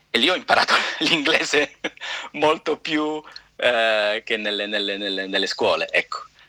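A fairly high male voice with lively intonation, fairly slow and broken by long, frequent pauses, over noticeable background noise. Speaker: actor. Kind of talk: interview.

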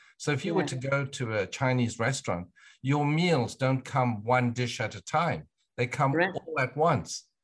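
A man talks at a moderate pace and medium pitch. His voice is somewhat breathy, with ordinary pitch variation. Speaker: podcast host. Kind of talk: interview.

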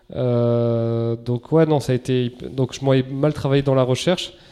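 Dark, mellow male tones with intonation that stays fairly level. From Basque Country, France. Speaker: entrepreneur, menswear brand founder. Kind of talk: interview conversation.

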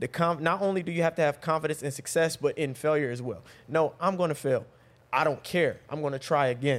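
A man with a plain, everyday voice speaks at a fairly quick pace in a fairly high pitch with ordinary pitch variation. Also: very clean recording, silent background. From North Carolina, Raleigh. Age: 30s. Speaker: relationship coach. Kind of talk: casual chat.

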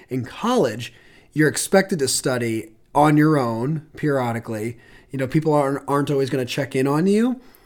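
This man has a plain, everyday voice, pitched fairly high, with lively intonation and a fairly quick pace. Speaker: admissions counselor podcast host. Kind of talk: casual chat.

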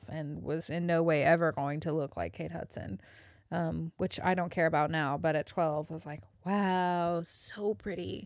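An animated woman's voice with a Southern US accent and ordinary pitch variation. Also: very clean recording, silent background. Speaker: podcast co-host. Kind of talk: casual banter. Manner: laughing, animated.

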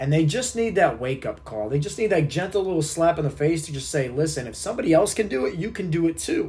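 A man with a high pitch, an energetic tone, lively intonation and a very fast pace, over noticeable background noise. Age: 30s. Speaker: fitness and health coach, podcast host. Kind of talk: motivational monologue. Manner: energetic, emphatic.

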